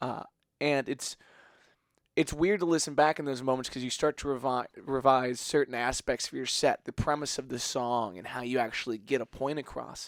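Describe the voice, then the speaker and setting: Mumbling man at a medium pitch and moderate pace, ordinary pitch variation, dry, close sound with no echo. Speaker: podcast host and musician. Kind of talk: casual interview chat. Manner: mumbles a lot.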